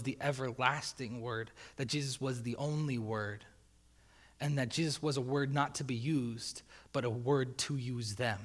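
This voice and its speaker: A man speaks in a normal speaking voice at a medium pitch and moderate pace. His intonation is fairly even on a very clean recording with a silent background. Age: 20s. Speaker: youth pastor. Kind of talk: sermon. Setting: church. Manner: casual, conversational.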